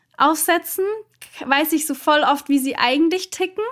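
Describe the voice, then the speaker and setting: The clip is very clean, its background silent. In it a woman talks at a moderate speed. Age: 20s. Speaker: content creator. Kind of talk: casual chat.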